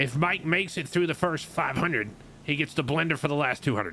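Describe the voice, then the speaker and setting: A raspy put-on character voice from a man, fairly high in pitch, at a very fast pace. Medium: game stream. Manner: deadpan, methodical, summarizing.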